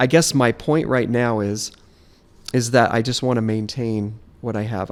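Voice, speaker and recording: A man with an American accent and an ordinary speaking voice, medium pitch and fairly even intonation. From Las Vegas, US West. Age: 50s. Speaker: podcast guest sharing life story. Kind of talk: casual interview chat.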